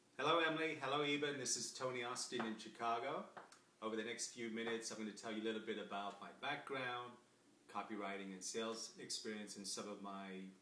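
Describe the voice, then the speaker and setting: A man speaks very fast with an American accent, at a medium pitch with ordinary pitch variation. Noticeable background noise and audible room echo are present. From England, Coventry. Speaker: copywriter and salesman. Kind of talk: self-introduction video. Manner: casual with many fillers.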